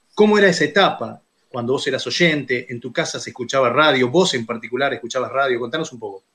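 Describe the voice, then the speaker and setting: Bright and sharp in tone, a man speaks very fast at medium pitch, with ordinary pitch variation and big swings in loudness. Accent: Rioplatense. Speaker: radio host. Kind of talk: interview.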